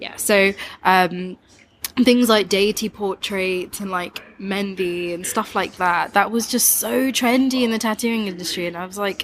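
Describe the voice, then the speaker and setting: Over noticeable background noise, a woman with an East Midlands accent speaks at a medium pitch and a fairly slow pace, with ordinary pitch variation. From East Midlands, England. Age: 20s. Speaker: tattoo artist. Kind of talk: casual chat.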